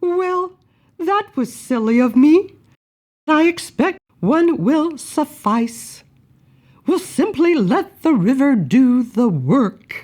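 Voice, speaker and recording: A put-on character voice, female-sounding and high-pitched, at a very slow pace. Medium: read story. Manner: genteel, lightly playful.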